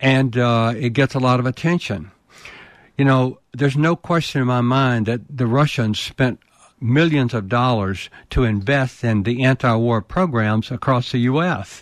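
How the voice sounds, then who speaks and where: A man with a Southern US accent speaks at a moderate pace. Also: medium pitch for a man, ordinary pitch variation. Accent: Southern US (Georgia). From US South, rural Georgia. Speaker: war veteran and leadership consultant. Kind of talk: interview.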